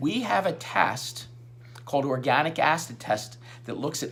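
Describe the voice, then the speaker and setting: This man's voice sits at a fairly high pitch. The room echo is audible. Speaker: chiropractor. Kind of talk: radio interview. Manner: fast; halting.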